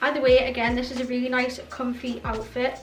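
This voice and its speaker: A woman's high voice at a fairly quick pace over background music. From North East England. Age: 20s. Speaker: fashion YouTuber. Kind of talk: casual talk to camera.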